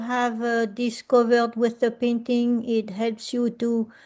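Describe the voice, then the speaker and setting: Speaking in a French accent, a woman has a high pitch and a dark, mellow tone. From France. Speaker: artist and workshop facilitator. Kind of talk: presentation talk. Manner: hesitant, many fillers.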